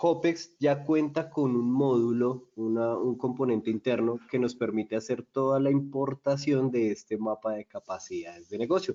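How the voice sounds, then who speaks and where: Speaking with a Colombian accent, a man keeps a moderate pace and ordinary pitch variation. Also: medium pitch for a man, hardly any pauses. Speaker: software solutions presenter. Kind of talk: webinar product demo. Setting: online webinar.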